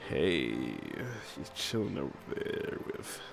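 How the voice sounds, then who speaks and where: A man's breathy, put-on character voice at a very slow pace amid clear background noise. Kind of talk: casual, smooth. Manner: flirty.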